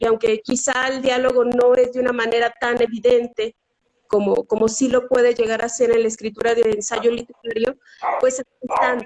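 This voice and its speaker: In a dry, close sound with no echo, a woman speaks at a moderate pace in a high pitch with monotone, flat intonation. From Mexico, Zacatecas. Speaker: writer and academic. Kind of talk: interview. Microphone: connection freezing.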